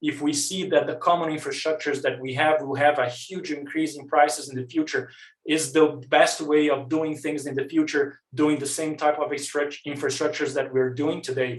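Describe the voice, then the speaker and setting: Audible room echo surrounds a man with a non-native accent who speaks in a fairly high voice at a fairly quick pace, with hardly any pauses. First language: not English. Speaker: researcher. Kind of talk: conference presentation. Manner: fast.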